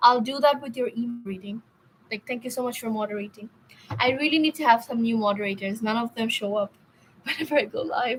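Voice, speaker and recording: Over noticeable background noise, a woman talks at a very fast pace. Her fairly high pitch shows ordinary variation. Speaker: tarot reader. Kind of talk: live stream tarot reading. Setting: live stream. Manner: stuttering a bit today; hesitant, filler-heavy.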